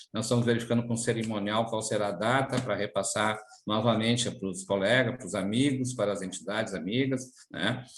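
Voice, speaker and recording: A man of medium pitch talks at a fairly quick pace with fairly even intonation. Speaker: public servants' union leader. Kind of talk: interview. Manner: hesitant, many fillers.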